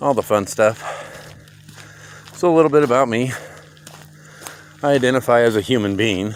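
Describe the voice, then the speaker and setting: Speaking at a moderate pace with an American accent, this voice uses ordinary pitch variation, takes long and frequent pauses, and has noticeable background noise behind it. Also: man, medium pitch for a man. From Montana. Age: 50s. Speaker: vlogger. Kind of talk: casual monologue while hiking. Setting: outdoors on a trail. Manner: unscripted, rambling.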